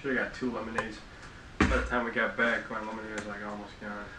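A man at medium pitch speaks at a very fast pace. Audible room echo and noticeable background noise fill the recording. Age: young. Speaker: podcast co-host. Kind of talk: casual chat.

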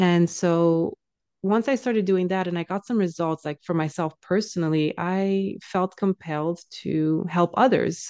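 A woman's dark, mellow, fairly low voice, fairly slow and with ordinary pitch variation, in a dry, close recording with no echo. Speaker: social anxiety coach. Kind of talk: interview. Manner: casual, laughs often.

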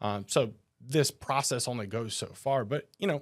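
A man with an American accent and medium pitch, an ordinary speaking voice, on a very clean recording with a silent background. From New Jersey. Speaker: financial advisor. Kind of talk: casual chat.

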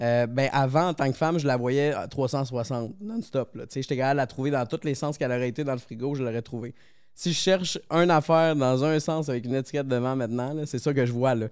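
An ordinary speaking voice at a fairly quick pace with ordinary pitch variation, on a very clean recording with a silent background. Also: man, medium pitch for a man. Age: 30s. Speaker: electronics technician. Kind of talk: casual chat.

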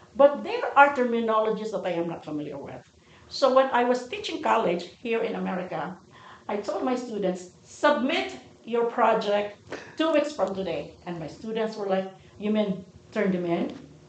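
Against noticeable background noise, a woman speaks at a moderate pace in a fairly high voice, with very wide pitch swings and big shifts in loudness. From Philippines. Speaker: nonprofit founder. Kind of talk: interview.

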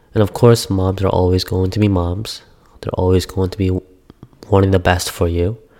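The voice is monotone and flat, moving at a moderate pace over noticeable background noise. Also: man, very deep, low pitch for a man. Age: 20s. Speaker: podcast host. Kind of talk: personal storytelling monologue.

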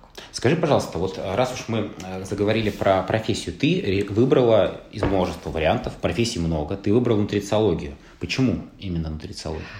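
A man's fairly low voice, fairly quick and lively in intonation, with audible room echo and noticeable background noise. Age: 30s. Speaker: podcast host. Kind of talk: casual chat.

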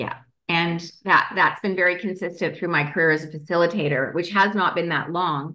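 A woman speaks in an ordinary speaking voice with a Canadian accent, her pitch fairly low and her pace moderate. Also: fairly even intonation. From Canada. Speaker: energy healer and author. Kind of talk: interview.

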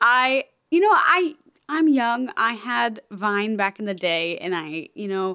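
At a fairly slow pace, a woman speaks in a fairly high voice with a bright, sharp tone. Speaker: podcast host. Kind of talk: casual chat. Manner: casual, with many fillers and laughs.

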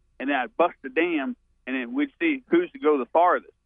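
A man with a Southern US accent and a fairly high pitch at a moderate pace. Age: 50s. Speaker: caller. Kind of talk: casual chat. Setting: phone call.

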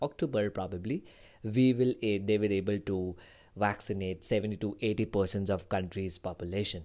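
Speaking at a moderate pace, a man with an Indian accent uses a fairly low pitch. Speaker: podcast host, software developer. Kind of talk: solo podcast monologue. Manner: halting.

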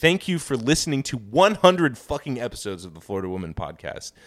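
A man with an American accent rattles along at a very fast pace, his pitch swinging very widely. His tone is animated, with vocal fry. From Kansas, US Midwest. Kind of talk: casual comedic banter, podcast. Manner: animated, profane, joking.

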